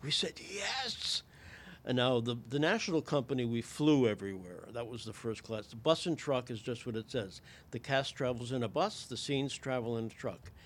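A man talks at a moderate pace and medium pitch. He has an American accent. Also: ordinary pitch variation. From Connecticut, US. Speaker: playwright and former actor. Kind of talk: casual interview. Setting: studio.

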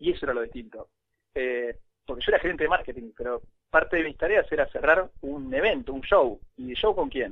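With a Rioplatense accent, a man with fairly high pitch talks at a fairly quick pace with lively intonation. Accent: Argentine Spanish (rioplatense). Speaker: former social network employee. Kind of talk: interview.

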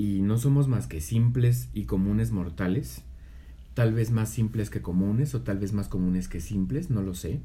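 In a room with audible echo, a man speaks at a fairly low pitch and a fairly slow pace, his somewhat breathy voice dark and mellow in tone, with very wide pitch swings. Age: 30s. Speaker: podcast co-host. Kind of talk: casual chat.

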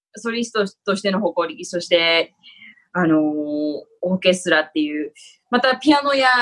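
Pitch swings very widely as the words come out at a moderate tempo. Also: woman, medium pitch for a woman. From Japan (Tokyo). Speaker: actor and former flutist. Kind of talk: interview.

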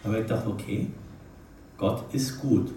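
Moderate pace with audible room echo. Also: man. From Nuremberg, Franconia, Germany. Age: 50s. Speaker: retired investment banker giving a life-story talk. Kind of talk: testimony talk.

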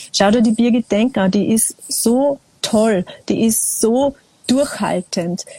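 With noticeable background noise behind her, a woman talks at a very slow pace in a fairly high voice, her loudness very even and her pitch varying in an ordinary way, the sound dry and close with no echo. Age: 40s. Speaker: singer-songwriter. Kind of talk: casual conversation. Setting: video call from a small balcony.

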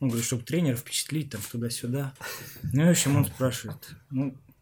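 A man talks at a moderate pace in a fairly high, somewhat breathy voice with ordinary pitch variation. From Siberia, Omsk. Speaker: podcast host, former footballer. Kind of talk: casual interview chat.

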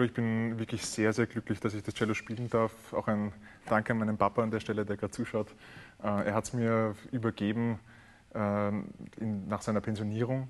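A man speaks at a medium pitch in a monotone, flat intonation. He leaves long, frequent pauses. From Austria, Vienna. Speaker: cellist and composer. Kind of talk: interview.

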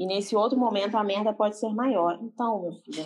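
Medium in pitch, a woman talks at a fairly quick pace. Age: 20s. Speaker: graphic designer. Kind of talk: casual chat. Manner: animated.

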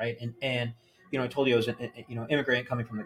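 At a very fast pace, a man with an American accent speaks at medium pitch, sounding somewhat breathy. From New Jersey. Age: 40s. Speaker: banker. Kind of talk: casual interview. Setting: gym.

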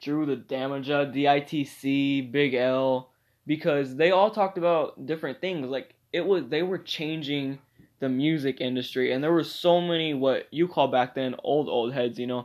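Against a quiet background, a man with a fairly high voice talks at a moderate pace with fairly even intonation. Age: 20s. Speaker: amateur podcaster. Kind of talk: casual monologue. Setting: bedroom. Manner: halting, many fillers.

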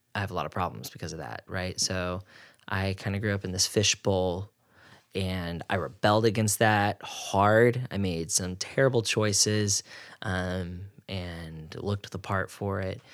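A man with an American accent has an ordinary speaking voice, fairly low in pitch, and fairly even intonation. He talks at a fairly slow pace in a very clean recording with a silent background. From Oklahoma. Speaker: marriage and family therapist. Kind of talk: casual interview.

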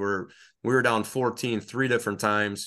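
Against a quiet background, a man talks with a Wisconsin accent. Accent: Upper Midwest (Wisconsin). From Northeast Wisconsin, rural. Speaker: high school football coach and referee. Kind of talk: casual interview.

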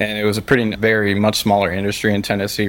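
A fairly low-pitched man with an American accent talks very fast in a monotone, flat intonation, with noticeable background noise. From Pennsylvania. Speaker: accounting firm founder and CEO. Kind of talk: casual interview chat.

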